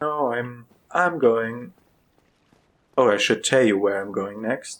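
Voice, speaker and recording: A man with a non-native accent at a medium pitch, ordinary pitch variation and a very slow pace. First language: not English. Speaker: gaming video creator. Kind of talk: let's play commentary. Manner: halting, many fillers.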